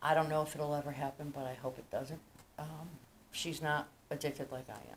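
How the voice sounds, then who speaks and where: A woman's very deep, low voice with an American accent, at a moderate pace and ordinary pitch variation. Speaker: recovering alcoholic. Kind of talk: recovery meeting speaker share.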